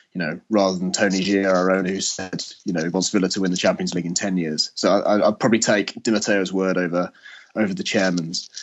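A man's very deep, low voice, fairly quick in pace, with monotone, flat intonation. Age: 30s. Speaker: sports journalist. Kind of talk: casual chat.

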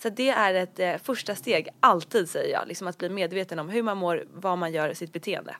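Speaking with hardly any pauses, this woman has an unremarkable speaking voice, medium pitch, ordinary pitch variation and a moderate pace. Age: 20s. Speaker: blogger and entrepreneur. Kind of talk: interview about recovery and career.

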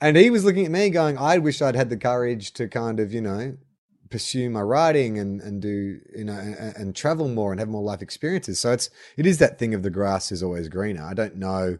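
A man with an Australian accent talks at a fairly quick pace and medium pitch. His intonation is lively, and the background is quiet. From Melbourne, Australia. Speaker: actor and writer. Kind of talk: casual interview.

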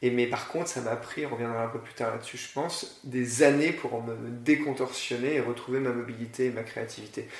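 The speech comes at a fairly quick pace with fairly even intonation and big swings in loudness. Audible room echo and noticeable background noise are present. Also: man, medium pitch for a man. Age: 40s. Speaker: school founder and director. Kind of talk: interview. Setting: in person at the school premises. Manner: halting, many repetitions and fillers.

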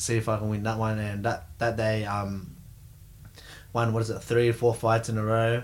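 In an Australian accent, a man speaks at a medium pitch with monotone, flat intonation. He leaves long, frequent pauses. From Australia, Sydney. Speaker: professional MMA fighter, world champion. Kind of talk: casual interview chat. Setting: studio.

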